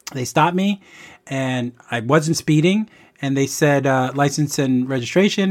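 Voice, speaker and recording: Delivered at a moderate pace in a New York accent, the speech has ordinary pitch variation on a very clean recording with a silent background. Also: man. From New York City, the Bronx. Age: 50s. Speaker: childhood friend of host. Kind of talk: casual chat.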